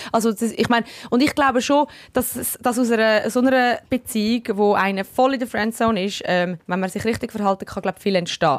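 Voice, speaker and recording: Fairly high-pitched for a woman, her voice moves at a fairly quick pace with ordinary pitch variation. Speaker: radio host and podcast co-host. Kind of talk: casual chat. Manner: animated, laughing often.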